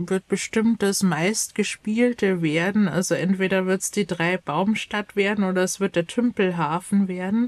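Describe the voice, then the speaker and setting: A woman's fairly slow, medium-pitched delivery in an ordinary speaking voice, with hardly any pauses and fairly even intonation, the sound dry and close with no echo in a very clean recording with a silent background. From Bavaria, Chiemgau. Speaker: youth education counsellor and YouTuber. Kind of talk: casual chat.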